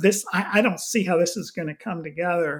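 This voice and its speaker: Speaking with a Texan accent, a man uses a high pitch with ordinary pitch variation. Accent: Texan American. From Houston, Texas. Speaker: missions pastor. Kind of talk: casual interview.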